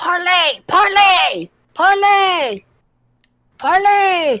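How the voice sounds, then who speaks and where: A put-on character voice shouts at an extremely high pitch. The delivery is very slow. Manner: shouting.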